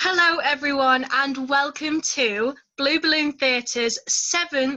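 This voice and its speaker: A woman's high, raised and projected voice at a fairly slow pace, over noticeable background noise. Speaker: event host, presenting an open mic night. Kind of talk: host introduction to a live online event.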